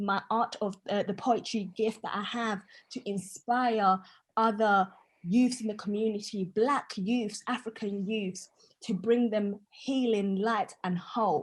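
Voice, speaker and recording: A somewhat breathy woman's voice, fairly high, with fairly even intonation and a very slow pace. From Tanzania. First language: Swahili. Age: 20s. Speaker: poet and author. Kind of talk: short speech at an online event. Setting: video call, camera off.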